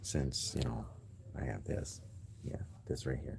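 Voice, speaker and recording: This man's voice has a dark, mellow tone with vocal fry. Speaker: gamer vlogger. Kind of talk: casual vlog. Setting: library. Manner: quieter than normal.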